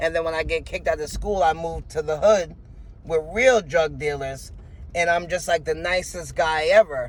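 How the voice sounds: A man talks at a moderate pace. His pitch is fairly high, with ordinary variation.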